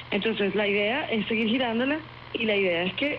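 Over noticeable background noise, a woman in a Venezuelan accent speaks at a fairly quick pace and a medium pitch with ordinary pitch variation. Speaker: actress and singer. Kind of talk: interview.

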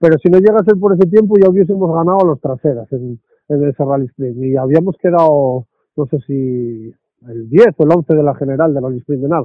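At a fairly quick pace, a man uses a normal speaking voice with a fairly high pitch and lively intonation. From Asturias, Spain. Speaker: rally co-driver. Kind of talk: interview.

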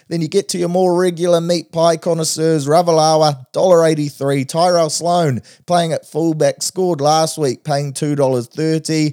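A man's dark, mellow tone at a fairly high pitch, with a New Zealand accent, hardly any pauses, and a dry, close sound with no echo. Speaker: podcast host, betting tipster.

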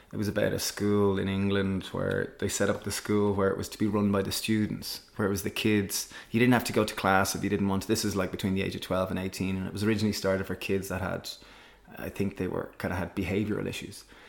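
Talking at a very fast pace, a man keeps a monotone, flat intonation at a fairly low pitch. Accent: Irish. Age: 30s. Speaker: social entrepreneur and cookbook author. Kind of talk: casual interview conversation.

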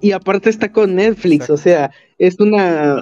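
At a moderate pace, the voice carries a dark, mellow tone, with pitch moving in an ordinary way. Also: man. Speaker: film YouTuber. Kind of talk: casual chat.

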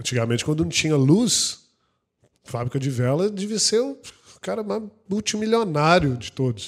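A man with a fairly high pitch speaks at a moderate pace, his pitch swinging very widely between long, frequent pauses. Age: 30s. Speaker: insurance franchise CEO and podcast co-host. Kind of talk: casual chat.

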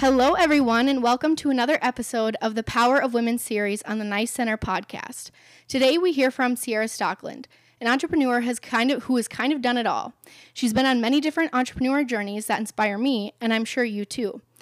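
Very fast speech comes from a woman with a high pitch and ordinary pitch variation. The recording is very clean, with a silent background. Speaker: podcast host. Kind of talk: interview.

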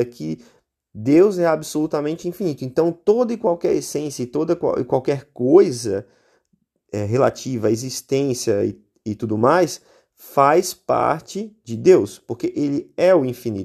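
Recorded very cleanly against a silent background, a man with a dark, mellow tone talks at a moderate pace in a fairly high pitch with lively intonation. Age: 30s. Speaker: podcast host. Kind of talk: solo explanatory philosophy talk. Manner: halting, many fillers.

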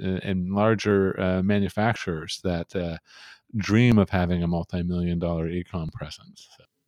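Very clean and silent in the background, the dry, close recording with no echo captures a man's very deep, low voice at a fairly slow pace with fairly even intonation. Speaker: marketing agency co-founder. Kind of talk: casual interview chat. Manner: hesitant, filler-heavy.

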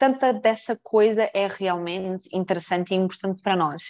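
Moderately paced speech from a woman, dry and close with no echo. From Mozambique, Brazilian family. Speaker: brand manager and company director. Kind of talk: casual interview chat. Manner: animated.

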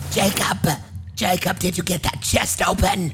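Over clear background noise, a man speaks in a put-on character voice at a very slow pace.

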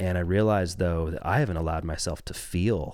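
A man with an American accent, very deep and low in pitch with ordinary variation, at a fairly quick pace on a very clean recording with a silent background. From US West Coast (Southern Oregon). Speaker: rock band singer and podcast co-host. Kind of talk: personal testimony in casual chat.

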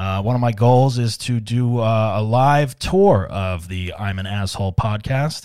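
Over a silent background in a very clean recording, a man with a dark, mellow tone talks fairly slowly at a medium pitch with ordinary pitch variation. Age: 40s. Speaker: comedian and podcast host. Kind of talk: solo comedic monologue. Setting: studio. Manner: casual with frequent fillers and repetitions.

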